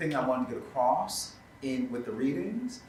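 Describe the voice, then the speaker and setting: A man at a moderate pace with very wide pitch swings, audible room echo around him. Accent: American. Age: 50s. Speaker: theatre company leader. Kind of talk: panel discussion.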